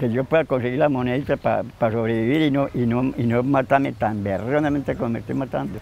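In a dry sound with no echo and light background noise, a man with a medium pitch and fairly even intonation speaks at a very fast pace with hardly any pauses. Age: 80s+. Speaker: waste picker. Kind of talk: interview answer. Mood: weary, lamenting hardship. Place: garden.

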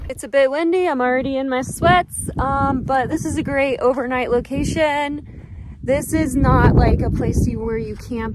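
A woman at a moderate pace, dry with no echo, over loud background noise. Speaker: car-living vlogger. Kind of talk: casual vlog chat. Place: open country. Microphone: phone near.

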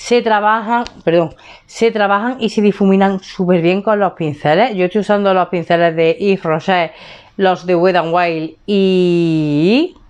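A woman at medium pitch and a fairly slow pace, with ordinary pitch variation, very even loudness and a quiet background. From Spain. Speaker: beauty vlogger. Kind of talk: casual vlog chat. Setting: home room. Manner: animated. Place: home room. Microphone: lapel.

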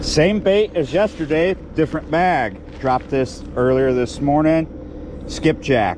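Noticeable background noise sits behind a man talking at a fairly slow pace, the sound dry with no echo. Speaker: fishing vlogger. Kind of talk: casual vlog chat. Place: waterside. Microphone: phone near.

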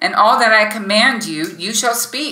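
With a quiet background and audible room echo, a woman speaks at a fairly slow pace. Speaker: podcast host. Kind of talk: devotional teaching talk. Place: home room. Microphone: webcam.

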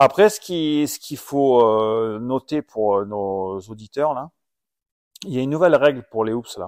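Lively intonation from a man at a medium pitch and a fairly slow pace, in a very clean recording with a silent background and a dry, close sound with no echo. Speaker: former supercross racer and podcast host. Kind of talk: casual chat. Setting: at home.

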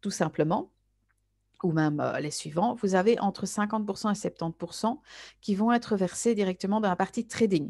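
Against a quiet background, a woman with a plain, everyday voice speaks at a fairly slow pace. Her pitch is medium and her intonation lively. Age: 30s. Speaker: network marketer. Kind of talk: sales pitch.

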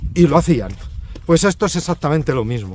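Over light background noise, a man speaks at a fairly quick pace with ordinary pitch variation, the sound dry with no echo. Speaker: pilgrim hiker vlogger. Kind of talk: casual vlog chat. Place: open country. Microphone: phone near.

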